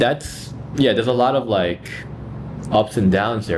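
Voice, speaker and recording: A man is speaking. Background noise is noticeable. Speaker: language learner vlogger. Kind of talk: casual practice vlog.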